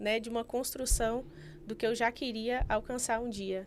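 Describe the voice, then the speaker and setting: A woman speaks in a Bahian accent. Her pitch is fairly high and her intonation fairly even. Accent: Bahian (far south of Bahia), noticeable. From Bahia, Brazil (far south, rural village). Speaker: investment specialist and financial planner. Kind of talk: podcast interview.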